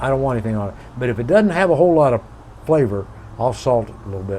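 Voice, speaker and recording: A very fast-talking man with lively intonation, over noticeable background noise. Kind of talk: casual chat.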